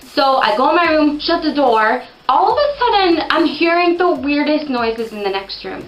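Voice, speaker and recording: Lively intonation from a woman amid noticeable background noise. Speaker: storytelling video host. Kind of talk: casual storytelling monologue. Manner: fast.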